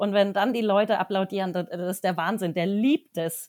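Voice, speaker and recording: With a normal speaking voice at medium pitch, a woman speaks at a moderate pace with fairly even intonation on a very clean recording against a silent background. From Germany, Wertheim (Lower Franconia area). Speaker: horse riding trainer. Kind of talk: podcast interview.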